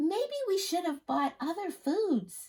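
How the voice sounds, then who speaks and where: Using a put-on character voice, a woman speaks in a squeaky, extremely high register with very wide pitch swings at a fairly slow pace. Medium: read story. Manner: practical, gently insistent.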